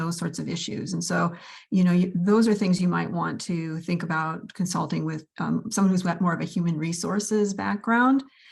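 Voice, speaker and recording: A woman speaks at a moderate pace in a fairly low pitch, somewhat breathy. Her pitch varies in an ordinary way over a quiet background. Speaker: law professor. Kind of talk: conference presentation.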